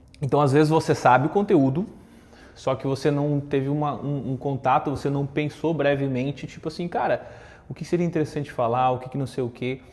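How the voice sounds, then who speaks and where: A man talks fairly quickly with fairly even intonation, his voice fairly high. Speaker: content creator and communication coach. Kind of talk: casual talk to camera with tips. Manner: conversational with fillers.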